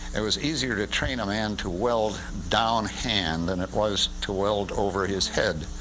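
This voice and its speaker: Noticeable background noise sits behind a man whose fairly low voice shows ordinary pitch variation. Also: fairly slow pace, hardly any pauses. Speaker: shipbuilding company chairman. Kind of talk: interview answer.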